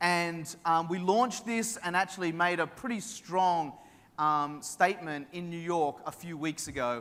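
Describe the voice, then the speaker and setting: In an Australian accent, a man speaks with a high pitch and a bright, sharp tone. The recording is very clean, with a silent background. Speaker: tech company executive. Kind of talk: conference keynote. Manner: casual, filler-heavy.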